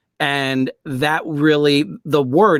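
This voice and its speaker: A man talks with fairly even intonation. The sound is dry and close, with no echo. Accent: New York. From New York. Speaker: author, voice actor, audiobook narrator. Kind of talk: interview answer.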